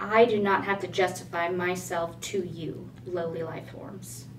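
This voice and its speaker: A put-on character voice, resonant and booming, goes at a moderate pace over clear background noise. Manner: haughty, dismissive.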